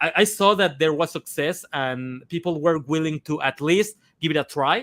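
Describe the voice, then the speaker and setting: On a very clean recording with a silent background, a man with a fairly high pitch speaks at a moderate pace and ordinary pitch variation, his sound dry and close with no echo. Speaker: comic artist and animator. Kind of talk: casual interview chat. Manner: halting, many fillers and repetitions.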